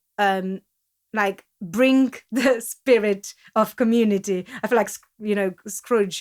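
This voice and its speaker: A woman speaks at a fairly slow pace with a non-native accent and a fairly high pitch. Her intonation stays fairly even, her loudness swings widely, and she leaves long, frequent pauses. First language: not English. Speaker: podcast co-host and community founder. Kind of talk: casual podcast chat. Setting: studio.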